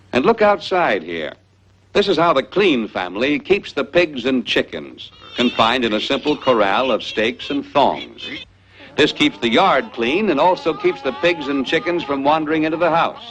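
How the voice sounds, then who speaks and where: Music plays in the background as a man talks at a moderate pace. His fairly high pitch moves in very wide swings. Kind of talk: educational film narration.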